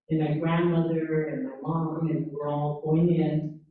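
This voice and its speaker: A woman speaks in an American accent with a fairly low pitch. Audible room echo can be heard. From California. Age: 70s. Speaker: former farmworker movement volunteer, panelist. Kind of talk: testimony.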